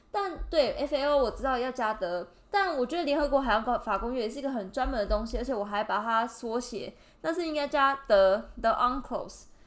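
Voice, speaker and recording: A woman speaks at a high pitch with lively intonation. She hardly pauses at all. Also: moderate pace. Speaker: podcast host, graduate student. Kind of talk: casual chat.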